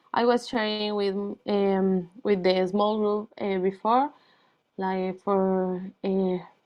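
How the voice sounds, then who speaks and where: The speaker has a Spanish accent and a flat, monotone delivery. The pace is very slow. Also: woman, medium pitch for a woman. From Colombia. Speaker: NGO founder and former teacher. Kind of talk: presentation. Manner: halting, many fillers.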